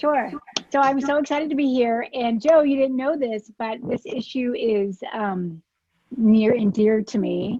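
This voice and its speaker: With a slight Alabama accent, a woman speaks at a high pitch and a fairly slow pace, using ordinary pitch variation. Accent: faint Alabama. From US South, South Alabama. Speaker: political advocate and lawyer. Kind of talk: informal talk.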